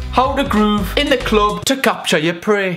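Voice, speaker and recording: Behind a man's voice, clear music can be heard. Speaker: comedy vlogger. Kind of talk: comedic commentary to camera. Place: home room. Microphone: phone near.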